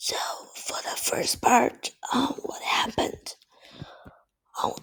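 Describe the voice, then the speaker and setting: Someone whispers at a very slow pace. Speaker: student presenter. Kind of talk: class presentation. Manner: halting, with fillers.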